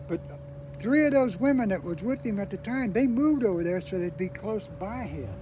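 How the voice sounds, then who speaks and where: A man with an American accent speaks in a space with audible room echo. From California. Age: 70s. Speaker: war veteran. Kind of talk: casual chat. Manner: halting.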